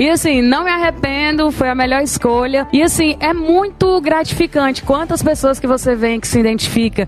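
Speech with hardly any pauses over noticeable background noise. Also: woman, high pitch for a woman, ordinary pitch variation, moderate pace. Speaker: singer. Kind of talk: casual chat.

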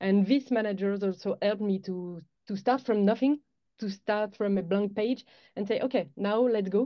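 A woman speaks with a French accent at a moderate pace. Her pitch is medium and her intonation fairly even. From France. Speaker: head of sales at a space launch company. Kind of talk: interview.

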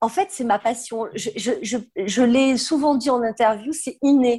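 The speaker talks at a fairly slow pace with ordinary pitch variation over a quiet background. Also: woman. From southern France. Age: 50s. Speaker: fashion consultant and trade fair founder. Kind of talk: podcast interview.

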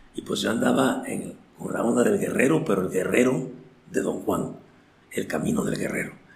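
Audible echo fills the room as a man talks at a moderate speed through noticeable background noise. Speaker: recovering addict sharing life story. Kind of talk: testimony. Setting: in-person recording in Oaxaca.

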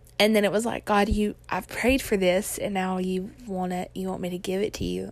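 A woman with a plain, everyday voice speaks at a fairly quick pace, medium in pitch, with fairly even intonation. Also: hardly any pauses, big swings in loudness. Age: 20s. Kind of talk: personal testimony vlog. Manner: casual, chatty with fillers.

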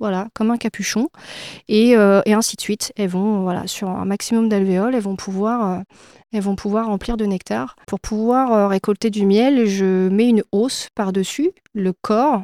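A woman speaks in a dark, mellow tone with fairly even intonation. The recording is very clean over a silent background, dry and close with no echo. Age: 40s. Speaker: beekeeper. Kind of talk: interview. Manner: hesitant, frequent fillers.

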